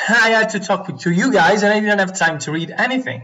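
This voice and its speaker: Talking at a moderate pace, a man with an Italian accent shows ordinary pitch variation. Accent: non-native English, Italian. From Italy. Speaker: Go player streamer. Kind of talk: live game commentary.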